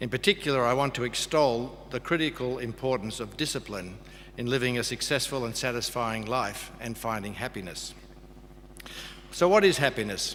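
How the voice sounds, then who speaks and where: Moderate pace and medium pitch from a man with an Australian accent, plus ordinary pitch variation. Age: 60s. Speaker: graduation speaker. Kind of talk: speech.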